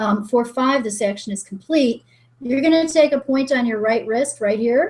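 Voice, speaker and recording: This woman has a high pitch. Her pitch variation is ordinary. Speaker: energy healing coach. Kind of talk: guided exercise on webinar. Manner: fast; animated.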